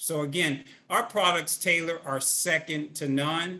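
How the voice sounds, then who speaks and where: A man's bright, sharp voice in an animated tone. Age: 60s. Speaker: network marketing field leader. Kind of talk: webinar interview.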